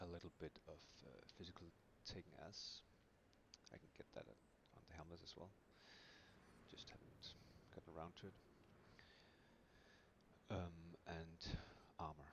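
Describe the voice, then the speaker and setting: A man whispers at a moderate pace. He leaves long, frequent pauses. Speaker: video game streamer. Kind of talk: game build guide commentary. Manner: quiet, mellow.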